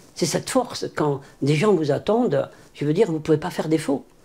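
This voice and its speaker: Lively intonation marks this man's fairly high voice, which has a dark, mellow tone. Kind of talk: interview. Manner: halting.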